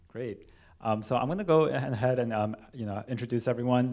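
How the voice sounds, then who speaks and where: A speaker with a Californian accent talks at a fairly quick pace and with fairly even intonation. The recording is very clean, with a silent background. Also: man. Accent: General American, California. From Los Angeles, California (Korean American). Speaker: cellist and panel moderator. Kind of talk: moderated panel discussion. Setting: church hall with live audience. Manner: hesitant, many fillers.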